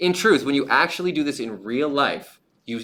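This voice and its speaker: A man talks with lively intonation, a bright, sharp tone and vocal fry. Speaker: high school biology teacher. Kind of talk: lecture. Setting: livestream. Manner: fast; casual.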